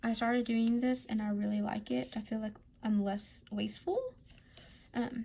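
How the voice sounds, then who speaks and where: A woman speaks quietly at a moderate pace, somewhat breathy, fairly high-pitched, and with a dark, mellow tone. Her intonation is lively, with long, frequent pauses. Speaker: budgeting vlogger. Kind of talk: casual tutorial. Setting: at home.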